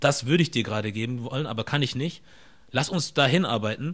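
A man talks with ordinary pitch variation. Behind him, the background stays quiet. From Germany, near Stuttgart (Ostfildern); Germany. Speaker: content creator and podcast host; content creator, podcast host. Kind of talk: casual interview. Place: home room. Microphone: studio mic.

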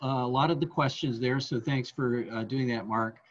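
With an American accent, a somewhat breathy man speaks at a moderate pace. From San Jose, California; California. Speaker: museum talk host. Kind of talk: casual chat; interview question. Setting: video call. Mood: friendly, relaxed. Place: home room. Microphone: video call.

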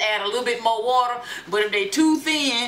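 The speech moves at a fairly quick pace. Light background noise is present. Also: woman. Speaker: home cook vlogger. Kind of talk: casual cooking tutorial chat. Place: kitchen. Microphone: camera far.

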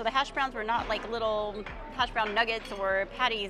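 Against crowd noise in the background, a woman speaks at a fairly quick pace in a dry sound with no echo. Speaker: food vlogger. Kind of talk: casual food review chat. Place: hall. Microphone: lapel.

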